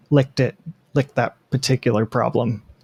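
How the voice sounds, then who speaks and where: A man speaks at a medium pitch with fairly even intonation and some vocal fry. The recording is dry and close, with no echo. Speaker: podcast co-host. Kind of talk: casual chat. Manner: hesitant, many fillers.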